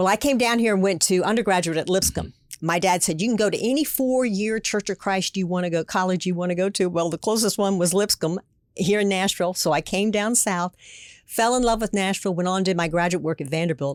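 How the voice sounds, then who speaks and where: In a very clean recording with a silent background and a dry, close sound with no echo, a woman with an American accent speaks at a very fast pace. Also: medium pitch for a woman, ordinary pitch variation. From Pennsylvania. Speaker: former state politician. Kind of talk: interview.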